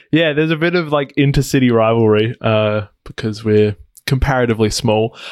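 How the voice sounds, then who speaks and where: Speaking with an Australian accent at a fairly quick pace, a man holds a medium pitch with ordinary variation and very even loudness, in a dry, close sound with no echo. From Australia, Adelaide. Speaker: app developer. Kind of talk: interview. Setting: video call.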